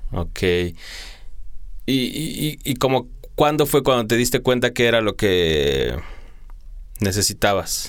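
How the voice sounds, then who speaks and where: Using a medium pitch with vocal fry, a man speaks at a very slow pace with lively intonation and long, frequent pauses. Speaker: radio host. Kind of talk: interview. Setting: studio.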